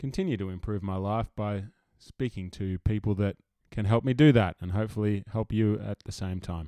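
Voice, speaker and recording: A normal speaking voice at a moderate pace, very cleanly recorded against a silent background, with a dry, close sound and no echo. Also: man. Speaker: podcast host. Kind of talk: casual interview chat.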